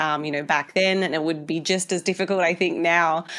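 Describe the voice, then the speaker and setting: A woman with an Australian accent talks at a fairly quick pace and a fairly low pitch in a monotone, flat intonation, the recording very clean with a silent background. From Australia, Tasmania. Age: 30s. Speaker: dietitian and physique coach. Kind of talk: podcast interview. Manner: hesitant, many fillers.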